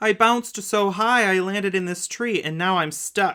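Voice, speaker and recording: A put-on character voice, female-sounding, at a middle pitch. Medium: read story.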